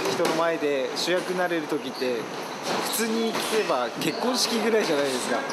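Loud background noise runs under a man speaking at a moderate pace. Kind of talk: interview answer. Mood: reflective, warm. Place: gym.

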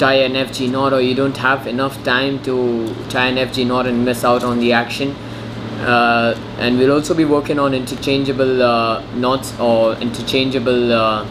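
Over noticeable background noise, a man speaks at a moderate pace with monotone, flat intonation. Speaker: angler demonstrating knots. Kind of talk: tutorial. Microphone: phone near.

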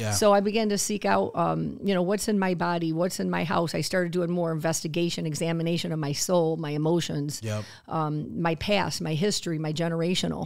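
A woman talks very fast with hardly any pauses against a quiet background. Her fairly low voice has lively intonation. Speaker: podcast guest, health coach. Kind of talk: interview answer. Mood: earnest, reflective. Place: studio. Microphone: studio mic.

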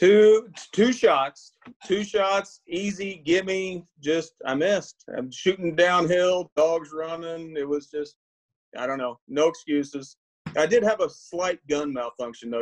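Speaking at a fairly slow pace over a quiet background, a man has a fairly high pitch and an unremarkable speaking voice. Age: 40s. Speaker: bird hunter, game show contestant. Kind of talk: casual chat. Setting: video call from home. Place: home room. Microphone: video call.

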